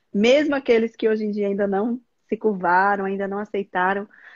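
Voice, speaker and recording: A woman with an unremarkable speaking voice talks at a moderate pace, her pitch medium. The sound is dry and close, with no echo. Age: 40s. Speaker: gynecologist. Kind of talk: live stream interview. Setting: online live stream.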